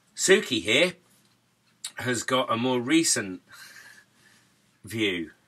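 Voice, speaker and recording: With a Norwich accent, a man at medium pitch speaks very slowly in a bright, sharp tone, making very wide pitch swings and long, frequent pauses. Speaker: musician and YouTuber. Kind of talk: casual chat.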